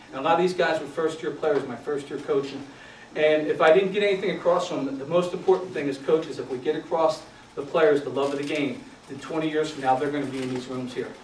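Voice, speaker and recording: A man with an American accent talks at a very fast pace in a fairly high voice, his intonation fairly even. His loudness swings widely, with audible room echo and noticeable background noise. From Philadelphia. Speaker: youth football coach, retired Marine. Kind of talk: conference talk. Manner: casual, conversational with fillers.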